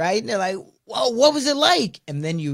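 In a very clean recording with a silent background, a man speaks in an energetic tone. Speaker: podcast host. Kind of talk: casual interview chat.

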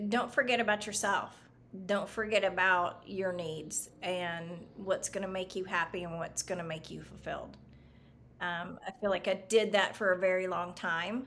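With a plain, everyday voice, a woman speaks at medium pitch and a moderate pace with fairly even intonation. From US South. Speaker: real estate agent. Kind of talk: interview.

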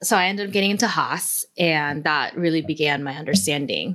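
In a very clean recording with a silent background, a woman with a General American accent speaks at a moderate pace in a very deep, low voice with a bright, sharp tone and ordinary pitch variation. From South Korea, then San Diego. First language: Korean. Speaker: author and activist.

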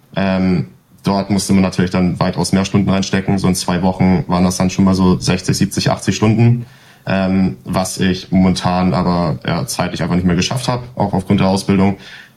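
Over noticeable background noise, a man speaks at a moderate pace. His voice is very deep and low, with ordinary pitch variation. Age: 20s. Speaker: esports player and apprentice. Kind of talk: casual interview.

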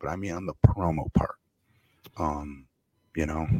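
With a very deep, low pitch and a dark, mellow tone, a man speaks at a moderate pace with ordinary pitch variation and vocal fry, the sound dry and close with no echo. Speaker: wrestling podcast host. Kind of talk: casual chat. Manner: halting.

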